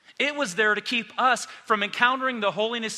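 In a raised, projected voice, a man speaks fairly quickly with ordinary pitch variation. His tone is bright and sharp. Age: 50s. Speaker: pastor. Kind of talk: sermon. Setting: church.

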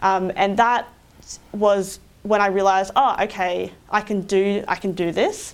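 A woman with an Australian accent, monotone, flat intonation, and a fairly slow pace. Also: medium pitch for a woman. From regional Queensland, Australia (Roma). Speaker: engineering consultant. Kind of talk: interview.

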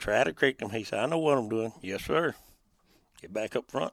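In a rural Southern US accent, a man talks at a medium pitch and a fairly quick pace. His intonation is lively, and the sound is dry and close with no echo. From western Tennessee, rural lake area. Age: 50s. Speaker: duck hunting guide. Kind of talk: casual interview chat. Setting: in a duck blind on a lake.

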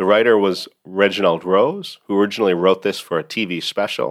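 Speaking at a fairly quick pace, this man has a plain, everyday voice with a fairly low pitch. His pitch varies in an ordinary way on a very clean recording with a silent background. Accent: American. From United States. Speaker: podcast host and law professor. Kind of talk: educational podcast monologue.

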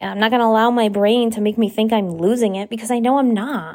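A woman with a plain, everyday voice, a fairly high pitch and a fairly quick pace in a very clean recording with a silent background. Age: 30s. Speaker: podcast host. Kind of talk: casual solo monologue. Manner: casual, laughing often.

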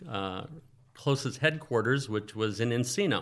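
Speaking with an American accent, a man talks at a medium pitch. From Northern California (Oakland). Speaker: financial planner. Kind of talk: interview.

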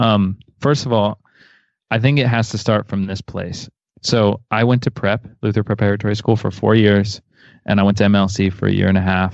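Fairly even intonation and a moderate pace in a plain, everyday voice. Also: man, fairly low pitch for a man. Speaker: worship musician. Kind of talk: casual interview.

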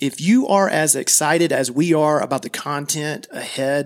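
A man with an American accent has a plain, everyday voice. His pitch is fairly high, with ordinary variation. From US South, small-town Georgia. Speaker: wealth advisor, podcast host. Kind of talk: scripted podcast introduction.

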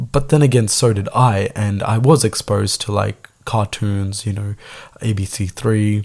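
Somewhat breathy, a man speaks at a very slow pace with a fairly low pitch and ordinary pitch variation. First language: Tamil. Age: 20s. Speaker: podcast host. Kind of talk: solo podcast monologue, casual. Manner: casual, rambling, filler-heavy.

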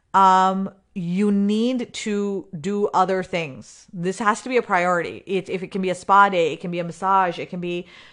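Over a quiet background, a woman talks at a medium pitch with a bright, sharp tone. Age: 40s. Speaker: podcast host and business coach. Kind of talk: solo podcast monologue. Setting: live recording. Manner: casual, with fillers and restarts.

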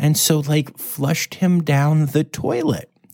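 Soft-spoken delivery comes at a fairly slow pace. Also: man. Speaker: podcast host. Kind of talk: casual news roundup. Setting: hotel room. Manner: soft-spoken, talking quietly.

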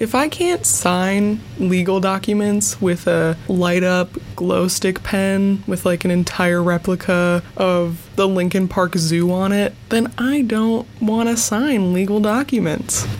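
Amid noticeable background noise, a woman speaks at a fairly slow pace with very even loudness. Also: medium pitch for a woman, ordinary pitch variation, hardly any pauses. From US Midwest (Wisconsin). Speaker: podcast host. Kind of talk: solo casual monologue. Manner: animated.

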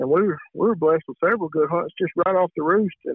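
Speaking very fast in a Southern US accent, a man with a high pitch keeps his intonation fairly even. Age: 30s. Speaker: turkey call maker and competition caller. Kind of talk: casual interview.

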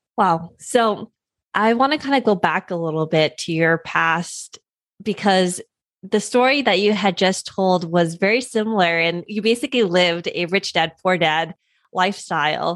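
A woman speaks at a medium pitch and moderate pace in an unremarkable speaking voice with ordinary pitch variation. The recording is very clean, with a silent background. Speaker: podcast host. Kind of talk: interview.

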